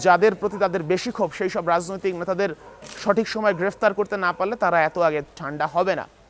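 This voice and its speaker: Over noticeable background noise, a man talks in a high pitch with fairly even intonation. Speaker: news reporter. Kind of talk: field news report. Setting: on location in Kathmandu.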